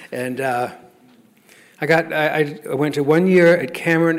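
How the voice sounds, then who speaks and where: A man's fairly high voice keeps a fairly even intonation at a moderate pace. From Oklahoma, Lawton. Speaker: AA speaker. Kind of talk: testimony. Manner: halting.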